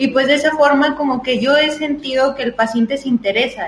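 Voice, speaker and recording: There is noticeable background noise as a woman speaks. Her pace is moderate and her intonation fairly even. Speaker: nutritionist podcast co-host. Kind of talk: casual chat.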